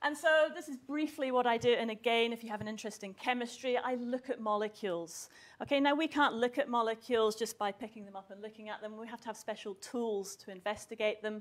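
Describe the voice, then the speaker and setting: A woman speaks at a very fast pace with hardly any pauses, her fairly high voice showing ordinary pitch variation and big swings in loudness. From southwest Scotland. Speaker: university chemistry researcher. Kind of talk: public talk to school students.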